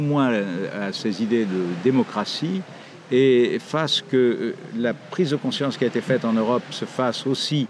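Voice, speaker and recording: A man's medium-pitched voice at a fairly slow pace with ordinary pitch variation, against noticeable background noise. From Morocco (Casablanca), French parents. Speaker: writer. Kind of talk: interview monologue. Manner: hesitant, many fillers.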